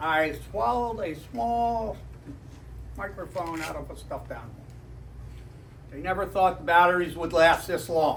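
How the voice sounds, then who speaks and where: A man speaks with big swings in loudness and long, frequent pauses amid audible room echo. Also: moderate pace. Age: 60s. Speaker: retired charter boat captain. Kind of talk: club talk. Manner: casual. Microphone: no microphone.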